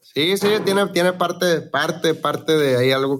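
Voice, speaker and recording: A man speaks with ordinary pitch variation. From Mexico, Sinaloa (Los Mochis). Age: young. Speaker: regional Mexican singer. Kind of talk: casual chat. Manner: halting.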